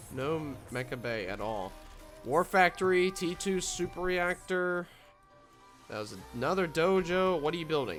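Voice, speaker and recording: Over music in the background, the speaker talks at a fairly slow pace with lively intonation. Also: man, high pitch for a man. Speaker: game commentator. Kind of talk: esports replay commentary.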